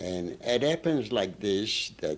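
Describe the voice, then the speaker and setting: Over noticeable background noise, a man talks at a very slow pace in a fairly low pitch with very wide pitch swings. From Ukraine. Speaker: immigrant. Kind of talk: interview answer.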